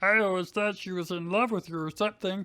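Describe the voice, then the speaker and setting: A cartoonish character voice rattles along at a very fast pace and a middle pitch. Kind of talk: comic overacting, frog-puppet impression. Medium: read story. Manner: hesitant, confused.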